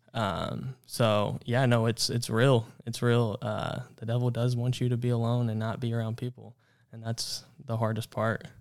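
The delivery is monotone and flat at a moderate pace, in a very clean recording with a silent background. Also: man, medium pitch for a man. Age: 20s. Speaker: psychology student and mental health advocate. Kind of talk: testimony.

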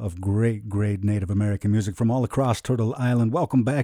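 In a plain, everyday voice, the speaker goes at a fairly quick pace with ordinary pitch variation, the sound dry and close with no echo. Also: man. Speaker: radio host. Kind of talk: radio interview.

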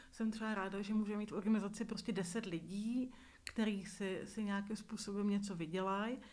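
A woman at medium pitch speaks fairly quickly with monotone, flat intonation. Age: 40s. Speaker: visually impaired media worker, nonprofit leader. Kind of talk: interview testimony.

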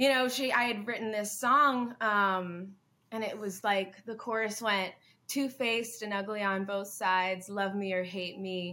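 Her intonation stays fairly even, in a bright, sharp tone. The woman speaks with a slight Southern US accent. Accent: light southern US. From US South, Hilton Head Island, South Carolina. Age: 20s. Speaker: rock musician. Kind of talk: interview.

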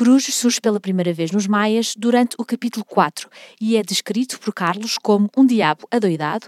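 Using an unremarkable speaking voice, a woman with a fairly high pitch and ordinary pitch variation talks at a moderate pace, recorded very cleanly with a silent background and a dry, close sound with no echo. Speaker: podcast host, music history guide. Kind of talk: scripted narration.

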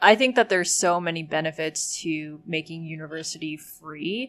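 At a moderate pace, a woman speaks with fairly low pitch and ordinary pitch variation. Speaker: guest. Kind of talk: casual chat.

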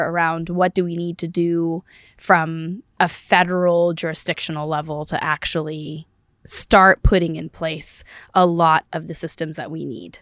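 A woman with an American accent speaks at a fairly low pitch in a monotone, flat way. The sound is dry and close, with no echo. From US West Coast, southern California (Palm Springs area). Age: 20s. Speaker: engineer, investor and congressional candidate. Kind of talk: interview conversation. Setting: studio.

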